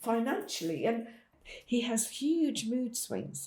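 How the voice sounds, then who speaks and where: Dark and mellow in tone, a woman's voice comes out somewhat breathy. She speaks very slowly. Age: 70s. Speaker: parent of a son with drug problems. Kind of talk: testimony.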